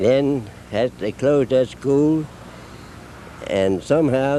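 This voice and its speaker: A man with an American accent talks at a fairly slow pace in a medium pitch with ordinary pitch variation over noticeable background noise. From Maryland, Brookeville. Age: 90s. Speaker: longtime town resident. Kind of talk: documentary interview.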